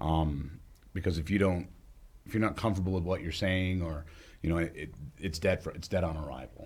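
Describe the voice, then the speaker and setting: At a fairly quick pace, a man speaks with a very deep, low pitch and vocal fry. Long, frequent pauses break up his ordinary pitch variation. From New England, Charlestown area near Vermont border. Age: 40s. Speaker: stand-up comedian and hardware store worker. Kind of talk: casual interview chat.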